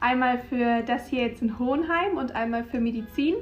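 A high-pitched woman at a moderate pace, with ordinary pitch variation. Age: 20s. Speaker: nutrition graduate. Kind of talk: interview. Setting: studio.

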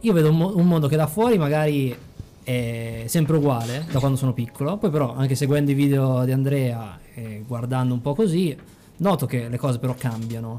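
At a fairly quick pace, a man speaks with a medium pitch and ordinary pitch variation. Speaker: podcast co-host. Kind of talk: casual chat. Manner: stumbling.

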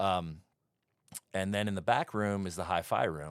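A man's normal speaking voice at a fairly slow pace, in a very clean recording with a silent background. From New York, Brooklyn. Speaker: bar owner and musician. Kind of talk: casual chat. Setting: studio.

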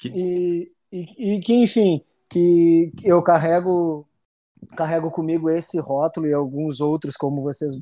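Here a man talks at a fairly slow pace. His intonation stays fairly even. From Rio Grande do Sul, Brazil (city of Rio Grande). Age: 30s. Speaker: military police officer. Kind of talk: interview, personal testimony. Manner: halting, frequent repetitions.

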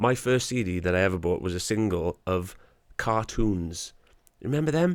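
With a Welsh accent, a man talks at a moderate pace in a fairly low pitch and with lively intonation. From Wales. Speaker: podcast host. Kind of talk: interview. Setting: pub basement studio.

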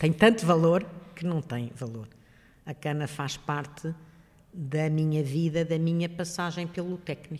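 Long, frequent pauses break up a woman's fairly slow speech, pitched very deep and low. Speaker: retired engineering professor. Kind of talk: interview, personal recollection.

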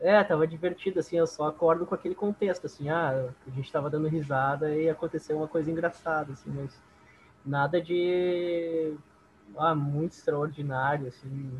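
Speaking with a southern Brazilian accent, a man talks at a moderate pace in a fairly high voice with fairly even intonation. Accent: gaúcho Brazilian Portuguese. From southern Brazil, Esteio (Rio Grande do Sul). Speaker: bass player in a band. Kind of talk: casual interview chat.

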